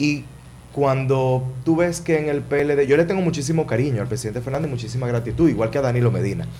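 Audible room echo surrounds a man talking at a fairly quick pace, medium in pitch with ordinary pitch variation. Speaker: politician, congressional candidate. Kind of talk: interview.

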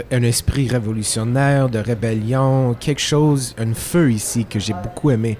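A man talks at a fairly slow pace. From Quebec, Italian-Friulian family. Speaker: singer-songwriter. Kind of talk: casual chat.

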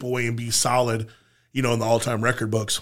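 A man's bright, sharp tone. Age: 40s. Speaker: powerlifter. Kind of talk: casual chat.

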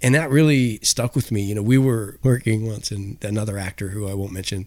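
In a very clean recording with a silent background, a man with a western Canadian accent talks at a fairly quick pace, his fairly low pitch showing ordinary variation. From western Canada (Victoria, BC). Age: middle-aged. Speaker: actor. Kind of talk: casual chat.

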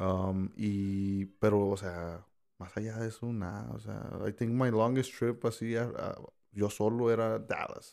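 In a very clean recording with a silent background, a man speaks very slowly in a fairly low pitch. His tone is dark and mellow, and his intonation fairly even. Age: 30s. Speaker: podcast guest. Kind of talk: casual chat.

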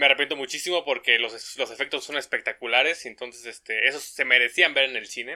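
A man with a mid-range voice talks very quickly, keeping his tone fairly level. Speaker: podcast co-host, engineering student. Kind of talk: casual chat. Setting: home recording.

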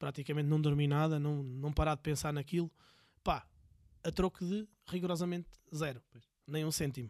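Fairly high-pitched and fairly even in intonation, a man talks at a fairly quick pace with long, frequent pauses, in a dry, close sound with no echo on a very clean recording with a silent background. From Portugal, Viseu. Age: 40s. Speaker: entrepreneur. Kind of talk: casual interview.

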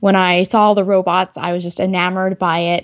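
A woman speaks in an unremarkable speaking voice at medium pitch and a moderate pace. The recording is very clean, with a silent background. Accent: American. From Texas. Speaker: tech entrepreneur and engineer. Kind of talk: interview.

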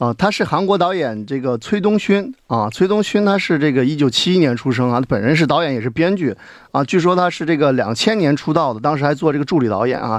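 A man talks at a fairly quick clip with lively intonation and hardly any pauses. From China. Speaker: film director. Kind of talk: casual chat. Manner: hesitant, many fillers.

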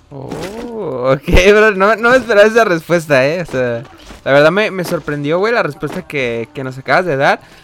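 A man's high-pitched voice, lively in intonation and fairly slow in pace, amid noticeable background noise. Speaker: youtuber interviewer. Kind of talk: casual interview.

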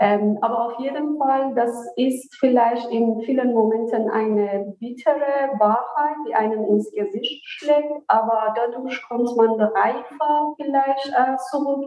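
Speaking very slowly in a high voice with a Persian accent, a woman uses ordinary pitch variation over noticeable background noise. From Iran, Isfahan. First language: Persian (speaking German). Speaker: author. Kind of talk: interview. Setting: remote virtual recording. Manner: hesitant, many fillers.

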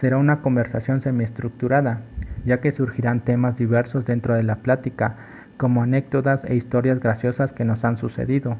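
A man with a medium pitch and a dark, mellow tone speaks somewhat breathily at a moderate pace, with monotone, flat intonation and very even loudness. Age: 20s. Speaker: physiotherapy intern. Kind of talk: scripted podcast introduction.

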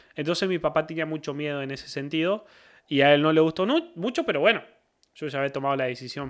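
The voice carries a Cordoban Argentine accent. Its tone is bright and sharp. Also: man, quiet background. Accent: Argentine Spanish (Córdoba), voseo. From Argentina, Córdoba province. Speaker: football commentator. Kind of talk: casual chat.

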